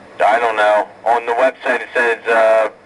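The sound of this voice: A man speaks at a moderate pace in a fairly low pitch, his tone fairly bright and his pitch moving little.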